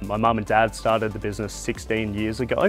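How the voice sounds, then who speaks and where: Faint music plays behind a man's voice. He speaks fairly quickly at a fairly low pitch. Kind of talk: interview answer. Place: factory. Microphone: lapel.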